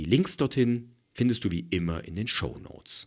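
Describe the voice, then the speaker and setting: Here a man speaks fairly slowly with lively intonation. The recording is very clean, with a silent background. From East Germany. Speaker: podcast host, conflict coach and audiobook narrator. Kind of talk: solo podcast monologue, scripted.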